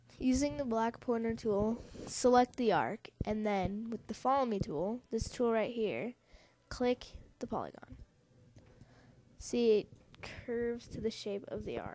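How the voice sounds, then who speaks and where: A woman speaks at a fairly slow pace in a dark, mellow tone, with long, frequent pauses. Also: fairly high pitch for a woman, ordinary pitch variation. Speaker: software tutorial maker. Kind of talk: tutorial.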